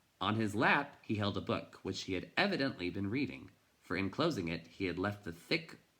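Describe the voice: It is plain reading aloud. The speech is read from text.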